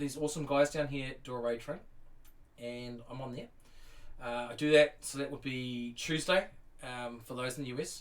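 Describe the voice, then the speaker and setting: This man speaks in a New Zealand accent. His pace is moderate. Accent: New Zealand, sometimes taken as English. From New Zealand, North Island. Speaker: Lego builder streamer. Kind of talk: casual live-stream chat. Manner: hesitant, many fillers and repeats.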